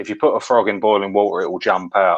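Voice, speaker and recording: This is a man speaking. He has a Cockney accent. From London (Deptford, East End). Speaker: guest commentator. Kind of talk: casual conversation.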